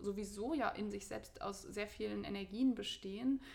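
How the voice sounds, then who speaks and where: At a fairly slow pace, a woman speaks in a fairly high voice. Noticeable background noise is present. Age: 30s. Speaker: spiritual teacher and academic. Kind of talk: casual interview.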